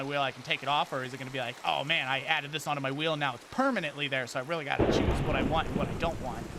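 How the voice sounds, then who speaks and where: With noticeable background noise behind him, a man talks at a very fast pace in an American accent. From United States. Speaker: gaming streamer. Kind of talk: casual live-stream chat. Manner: loud; animated.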